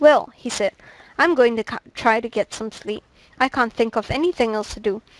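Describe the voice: Ordinary pitch variation in plain reading aloud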